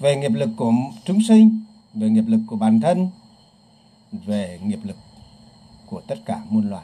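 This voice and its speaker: Speaking very slowly with long, frequent pauses, a man uses lively intonation and a dark, mellow tone at a medium pitch. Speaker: Buddhist teacher. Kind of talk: Dharma talk.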